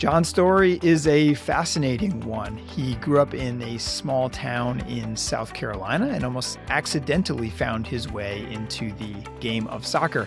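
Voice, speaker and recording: Music plays behind a man speaking at a fairly slow pace. He makes very wide pitch swings and hardly any pauses. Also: medium pitch for a man. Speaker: podcast host. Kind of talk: podcast intro.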